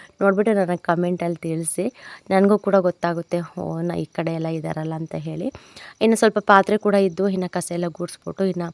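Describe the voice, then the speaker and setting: Fairly low in pitch and fairly even in intonation, a woman speaks in a normal speaking voice with a dry, close sound and no echo. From Chitradurga district, Karnataka (Hiriyur taluk village). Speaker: village homemaker vlogger. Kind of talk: casual vlog narration. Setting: at home in a village.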